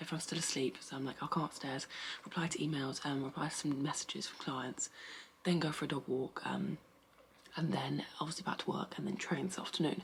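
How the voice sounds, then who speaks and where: Noticeable background noise sits under a woman's fairly quick whisper. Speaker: fitness vlogger and online coach. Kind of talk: casual vlog. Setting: at home. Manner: whispering.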